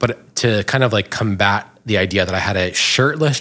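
An ordinary speaking voice in an American accent moves at a moderate pace with ordinary pitch variation. The recording is very clean, with a silent background. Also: man. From New Jersey, Bergen County. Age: 30s. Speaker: LGBTQ marketing professional. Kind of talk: casual chat.

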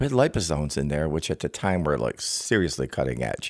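A man's very deep, low pitch with vocal fry and lively intonation at a fairly quick pace, on a very clean recording with a silent background and a dry, close sound with no echo. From Italian-American, US. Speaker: hair products business owner. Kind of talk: casual interview chat. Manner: halting, many fillers.

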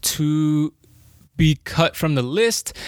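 A man's high-pitched voice in a very clean recording with a silent background and a dry, close sound with no echo. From Colombia. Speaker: football podcast host. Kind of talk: casual sports chat.

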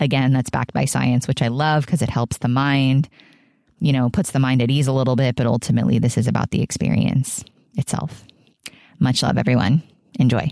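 Fairly quick and fairly even in intonation, a woman speaks at a very deep, low pitch with vocal fry and a dark, mellow tone. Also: very even loudness. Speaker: spiritual podcast host. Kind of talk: casual interview. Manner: warm, effusive.

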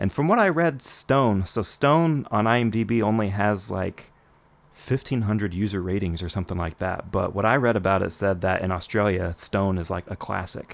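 This is a normal speaking voice with ordinary pitch variation. It moves at a moderate pace. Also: man, fairly low pitch for a man. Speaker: podcast host. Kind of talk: casual chat.

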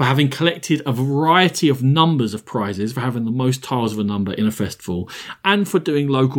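A man speaks in an ordinary speaking voice at a medium pitch and a fairly quick pace, with lively intonation, on a very clean recording with a silent background. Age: 40s. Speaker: board game podcast host. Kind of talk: casual chat.

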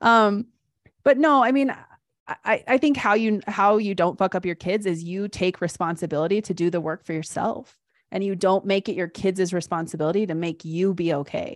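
A woman with an unremarkable speaking voice at medium pitch and a moderate pace, with ordinary pitch variation, a dry, close sound with no echo and a quiet background. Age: 40s. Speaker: life coach. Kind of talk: casual chat.

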